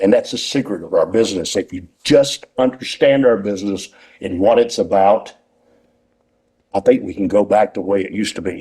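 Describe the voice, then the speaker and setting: In a Southern US accent, the voice has a dark, mellow tone, ordinary pitch variation and a moderate pace. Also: man, fairly low pitch for a man. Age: 60s. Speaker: retired pro wrestler and wrestling school owner. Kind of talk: interview. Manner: rambling, animated.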